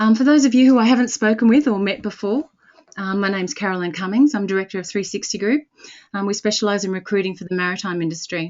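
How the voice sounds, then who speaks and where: A woman with an Australian accent talks at a very fast pace. Her pitch sits in the middle range, and its variation is ordinary. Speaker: recruitment company director and webinar host. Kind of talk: webinar introduction. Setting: webinar.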